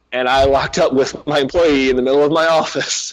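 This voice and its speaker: Animated in tone, a man with a Southern accent speaks at a moderate pace in a fairly high voice. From US South. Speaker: pro wrestler. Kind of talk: casual interview chat. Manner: animated storytelling.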